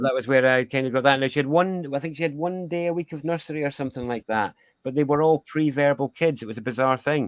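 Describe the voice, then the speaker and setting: In a Scottish accent, a man speaks very fast with hardly any pauses, at a fairly high pitch with ordinary pitch variation. The recording is very clean, with a silent background and a dry, close sound with no echo. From Scotland. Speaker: sound healer. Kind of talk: interview.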